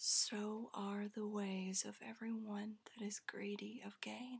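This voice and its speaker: The speaker whispers in a soft-spoken way. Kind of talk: ASMR scripture reading for sleep. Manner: soft-spoken, whispered.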